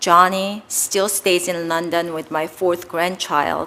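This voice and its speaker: Over noticeable background noise, a woman with a Korean accent speaks slowly in a flat monotone at a fairly low pitch. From South Korea. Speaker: ambassador nominee, former congresswoman. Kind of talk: formal opening statement at a Senate hearing. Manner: formal.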